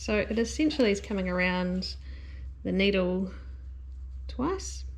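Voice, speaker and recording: In a New Zealand accent, the woman talks at a fairly slow pace. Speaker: knitting instructor. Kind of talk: tutorial talk to camera. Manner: casual, relaxed.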